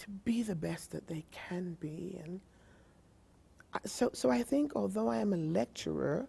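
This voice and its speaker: Her voice is fairly low in pitch and somewhat breathy as this woman talks at a fairly slow pace. It shows very wide pitch swings and big swings in loudness. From Jamaica. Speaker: literacy professor. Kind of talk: interview. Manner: halting.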